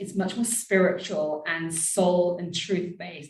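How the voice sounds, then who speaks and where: A woman speaks with a British accent at a medium pitch. Room echo is audible. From Britain. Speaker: empowerment and abundance coach. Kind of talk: interview podcast.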